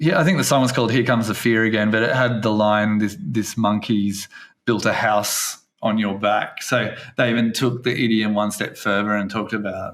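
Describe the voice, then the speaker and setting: Fairly low in pitch, a man speaks at a moderate pace with fairly even intonation. His loudness stays very even. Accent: Australian. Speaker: English teacher and podcast host. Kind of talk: casual podcast chat.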